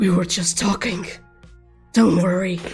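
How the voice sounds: Faint music plays behind a female-sounding, put-on character voice at a medium pitch, delivered at a moderate pace.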